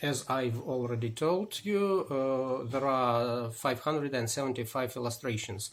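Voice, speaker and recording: A man with a Russian accent, fairly slow in pace, very even in loudness, with hardly any pauses. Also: medium pitch for a man, ordinary pitch variation. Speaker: historian. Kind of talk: book presentation. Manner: halting.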